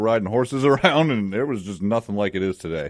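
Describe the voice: A slightly mellow tone comes through on a very clean recording with a silent background. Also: man.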